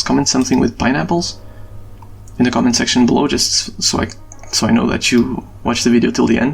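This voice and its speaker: A man speaks at a fairly quick pace with a non-native accent, and there is noticeable background noise. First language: not English. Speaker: gaming stats youtuber. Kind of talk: video outro monologue. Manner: fast; halting, repeats words.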